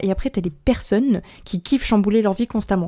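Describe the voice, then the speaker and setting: Her voice at medium pitch, a woman speaks in a dark, mellow tone. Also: very clean recording, silent background. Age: 20s. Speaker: podcast host. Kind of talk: personal monologue podcast. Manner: casual, informal.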